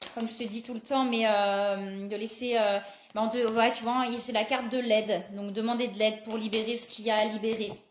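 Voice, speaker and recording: A woman's fairly high, monotone, flat voice at a moderate pace, with audible room echo and noticeable background noise. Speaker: psychic card reader. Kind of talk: live card reading guidance. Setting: live video stream.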